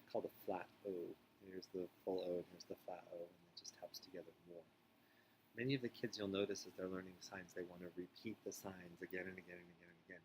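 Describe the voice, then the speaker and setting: A man with a very deep, low voice speaks very fast in a flat monotone, his loudness swinging widely. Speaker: teacher of deaf and hard of hearing students. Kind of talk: tutorial. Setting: recorded video. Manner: speaking louder than usual; hesitant, frequent ums.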